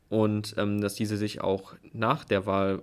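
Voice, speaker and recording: Recorded very cleanly against a silent background, a man speaks at a moderate pace with a fairly low pitch. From Hilden, Rhineland, Germany. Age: 20s. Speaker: student and party youth activist. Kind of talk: panel discussion.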